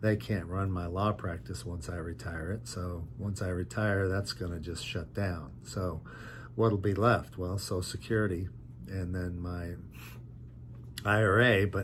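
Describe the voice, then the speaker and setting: At a fairly slow pace, a man talks with a very deep, low pitch, ordinary pitch variation and vocal fry, with audible room echo. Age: 60s. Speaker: lawyer and online business vlogger. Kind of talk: casual vlog monologue. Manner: halting, with frequent fillers.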